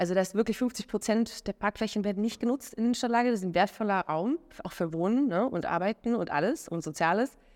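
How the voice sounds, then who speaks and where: Lively intonation from a woman at medium pitch, very fast pace, with a dry, close sound with no echo. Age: 30s. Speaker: entrepreneur and mobility consultant. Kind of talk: interview. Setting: recorded on site at a conference. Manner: many filler sounds.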